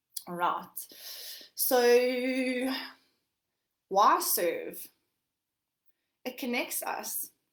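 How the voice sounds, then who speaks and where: A woman's high-pitched voice with lively intonation and long, frequent pauses, in audible room echo. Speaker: life coach. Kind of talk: workshop talk. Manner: fast.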